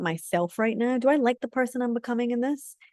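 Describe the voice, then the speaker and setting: This woman, speaking in a Scottish accent, has a fairly high pitch and a dark, mellow tone at a fairly quick pace. The sound is dry and close with no echo, over a quiet background. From Scotland. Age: 30s. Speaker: community leader. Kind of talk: webinar talk. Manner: animated.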